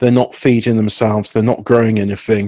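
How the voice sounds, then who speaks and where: Speaking with a British accent, a man uses medium pitch and ordinary pitch variation. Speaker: podcast host. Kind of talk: casual chat. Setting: live stream, online call.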